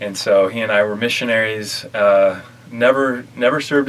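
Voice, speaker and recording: Fairly even in intonation, a man speaks in an American accent amid noticeable background noise. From Utah, north of Salt Lake City. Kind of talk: casual interview testimony.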